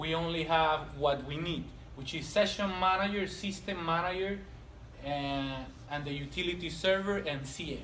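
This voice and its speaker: Through audible room echo and noticeable background noise, a man with a fairly high pitch talks at a moderate pace with fairly even intonation. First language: not English. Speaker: technical trainer. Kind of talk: lecture.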